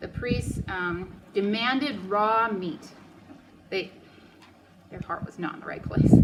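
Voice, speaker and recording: Very slow, medium-pitched speech from a woman, with ordinary pitch variation amid noticeable background noise. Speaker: Bible study teacher. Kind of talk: Bible study teaching.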